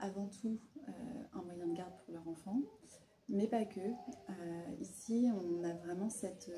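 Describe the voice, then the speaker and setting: Noticeable background noise sits behind a woman's medium-pitched voice. She speaks at a fairly slow pace with fairly even intonation. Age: 30s. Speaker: micro-nursery founder. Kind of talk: interview. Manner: hesitant, many fillers.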